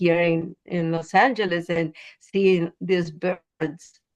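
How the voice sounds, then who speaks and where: A woman speaks with a Spanish accent. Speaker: poet. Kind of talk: interview. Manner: halting.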